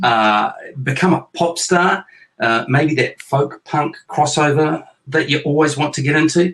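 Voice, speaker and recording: Speaking with a New Zealand accent at a moderate pace, a man uses a fairly high pitch with ordinary variation. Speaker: author and parent hosting a chat show with his kids. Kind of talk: casual chat. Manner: playful, joking.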